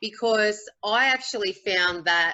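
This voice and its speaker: Speaking in an Australian accent is a woman. She keeps a fairly slow pace. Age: 40s. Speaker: teacher. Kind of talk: testimony. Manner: halting.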